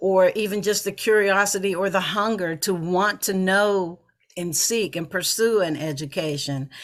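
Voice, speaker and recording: A woman with an American accent at medium pitch, a plain, everyday voice with ordinary pitch variation and a moderate pace, on a very clean recording with a silent background. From Pittsburgh, US. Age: 60s. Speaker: author and anti-poverty advocate. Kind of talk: podcast interview.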